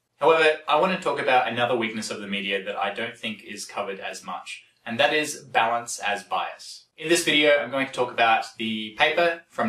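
Audible room echo surrounds a man who talks at a fairly quick pace with hardly any pauses. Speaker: science commentator. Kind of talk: explainer commentary.

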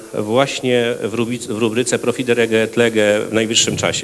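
There is light background noise. Over it, a man speaks fairly slowly with fairly even intonation. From central Poland, Radom; central Poland. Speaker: conference speaker. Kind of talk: conference talk. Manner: halting. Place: hall. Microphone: handheld.

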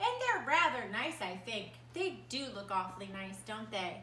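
There is audible room echo and light background noise as a woman talks in a warm, animated tone. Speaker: preschool art teacher. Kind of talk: children's story time, reading a picture book aloud to preschoolers. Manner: animated, sing-song, playful; warm, slow and coaxing, asks questions to the children. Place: home room. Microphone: phone near.

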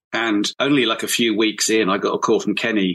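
With a southern English accent, a man speaks at a medium pitch in a bright, sharp tone. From southern England, Hampshire. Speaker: brass musician and arranger. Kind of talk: casual chat.

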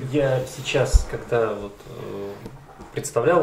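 Light background noise and audible room echo are present. The speaker is a man. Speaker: interviewer. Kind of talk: interview. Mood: thoughtful, intellectual. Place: cafe.

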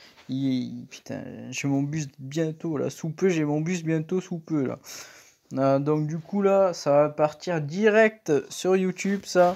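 Speech unfolds very slowly. The recording is very clean, and the background is silent. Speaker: gaming YouTuber. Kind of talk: angry gaming rant over live gameplay, venting and swearing at the game. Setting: home recording at computer, drill noise in background. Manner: exasperated, shouting, swearing, sharp outbursts.

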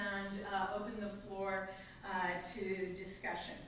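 Amid strong room echo and light background noise, a woman speaks at a fairly slow pace. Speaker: event host introducing speakers. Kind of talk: formal introduction. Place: hall.

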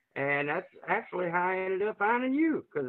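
Speaking at a moderate pace with an Arkansas accent, a man uses a high pitch and very wide pitch swings. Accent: Southern US (Arkansas). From Arkansas, US South. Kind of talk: testimony.

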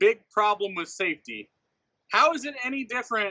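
Against a quiet background, a man speaks in an animated tone with lively intonation. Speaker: NASCAR podcast host. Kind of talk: angry rant about a blown race call. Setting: podcast recording also posted to YouTube. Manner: exasperated, incredulous, animated; rapid-fire, sarcastic, building in indignation. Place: home room. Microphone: studio mic.

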